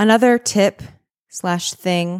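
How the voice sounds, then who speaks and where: The woman's pitch is medium and varies in an ordinary way. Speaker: podcast host. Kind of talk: casual solo podcast chat. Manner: conversational, casual.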